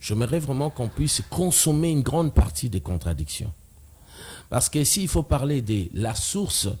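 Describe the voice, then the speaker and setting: At a moderate pace, a man with a medium pitch speaks in a dark, mellow, somewhat breathy tone with very wide pitch swings, in a very clean recording over a silent background. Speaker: debater on religion. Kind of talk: TV talk show debate.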